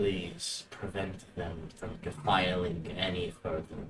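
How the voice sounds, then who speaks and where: A man uses a put-on character voice with a very deep, low pitch. He talks at a fairly slow pace. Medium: actual play. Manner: grave, measured.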